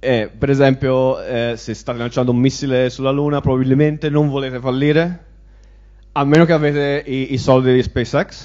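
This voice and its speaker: A man speaks at a moderate pace against a quiet background. His intonation is monotone and flat. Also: medium pitch for a man. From Italy. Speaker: information security manager; conference speaker. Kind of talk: conference talk. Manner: halting. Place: hall. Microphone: handheld.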